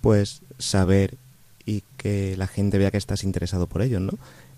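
With a plain, everyday voice, the man speaks at a fairly low pitch. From Spain, Córdoba. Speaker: student and lay missionary. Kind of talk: radio interview. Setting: studio.

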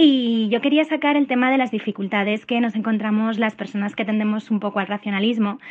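A woman with a fairly high pitch talks at a fairly quick pace in an unremarkable speaking voice with ordinary pitch variation. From Madrid, Spain. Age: 30s. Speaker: listener. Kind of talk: recorded voicemail question. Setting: voicemail.

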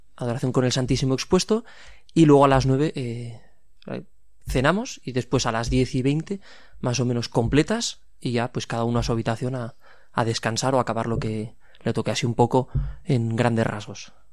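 A man speaks in a normal speaking voice at a medium pitch and moderate pace. The recording is very clean, with a silent background. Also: ordinary pitch variation. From Pamplona, Navarre, Spain. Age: 20s. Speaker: seminarian. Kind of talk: radio interview.

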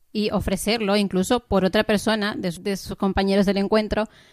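This woman has an English accent and a medium pitch, speaking at a moderate pace. The recording is very clean with a silent background and a dry, close sound with no echo. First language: English (speaking Spanish). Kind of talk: radio interview. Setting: studio.

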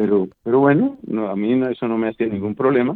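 This is a man speaking. He has a Bogotá accent. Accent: Colombian Spanish (Bogotá). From Colombia (Bogotá). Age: 50s. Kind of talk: interview.

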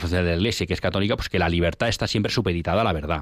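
His pitch very deep and low, a man rattles along at a very fast pace with ordinary pitch variation. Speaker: radio host. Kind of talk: radio talk show.

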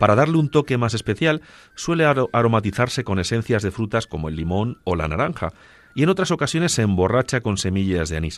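A man at a fairly quick pace with very wide pitch swings, in a dry, close sound with no echo. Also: medium pitch for a man, very clean recording, silent background. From Spain, Ciudad Real (Agudo). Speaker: radio co-host. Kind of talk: radio talk show; scripted narration.

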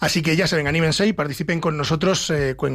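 With a Castilian accent, a man with a fairly high voice talks at a fairly quick pace and ordinary pitch variation. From Spain, Ávila. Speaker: radio host. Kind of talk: radio legal advice show. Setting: studio.

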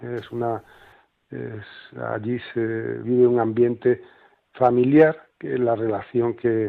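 A man with a medium-pitched voice speaks in a monotone with flat intonation. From Andalusia, Granada. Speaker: charity volunteer. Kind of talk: interview. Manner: halting, many repetitions.

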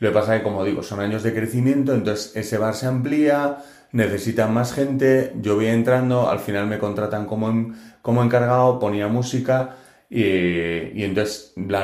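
At a moderate pace, the speech keeps fairly even intonation amid audible room echo. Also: man. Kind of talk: testimony.

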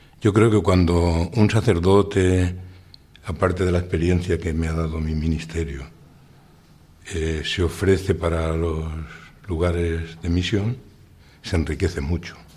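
Very deep, low male speech at a fairly slow pace, fairly even in intonation, with long, frequent pauses and noticeable background noise. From Spain, Valencia region (Utiel). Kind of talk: radio interview testimony.

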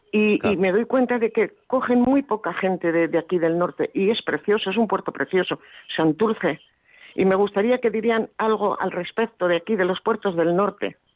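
A woman's plain, everyday voice at medium pitch, with ordinary pitch variation, a moderate pace and very even loudness. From Basque Country, Bilbao. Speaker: radio listener caller. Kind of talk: phone-in call.

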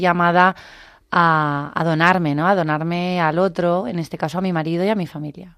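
In a very clean recording with a silent background, a woman speaks at a moderate pace in a fairly low, monotone, flat voice. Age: 40s. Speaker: nurse, mother. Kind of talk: testimony. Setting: studio.

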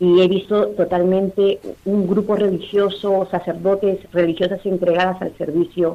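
A woman with a dark, mellow tone and fairly low pitch talks fairly slowly. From Peru, Lima. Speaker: Latin American immigrant, parish member. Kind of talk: phone interview. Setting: phone call. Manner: halting.

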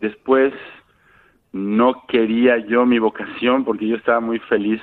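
A man with a Mexican accent, fairly low-pitched, at a fairly slow pace. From Mexico, Guadalajara. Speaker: Franciscan friar and parish priest. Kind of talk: interview. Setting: phone call. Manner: halting.

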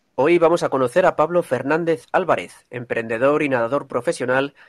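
This man has a plain, everyday voice with ordinary pitch variation and a fairly quick pace. The sound is dry and close with no echo, over a quiet background. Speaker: radio host. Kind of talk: radio program hosting. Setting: remote via internet. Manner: formal.

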